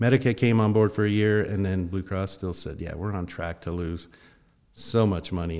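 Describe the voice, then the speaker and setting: On a very clean recording with a silent background, a man talks at a moderate pace with an American accent. His voice is very deep and low, with fairly even intonation. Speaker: financial advisor. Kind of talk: podcast interview.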